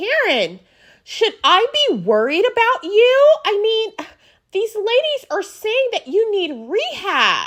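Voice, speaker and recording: A woman puts on a character voice with an extremely high pitch at a fairly slow pace. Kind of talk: newscaster delivery. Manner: serious.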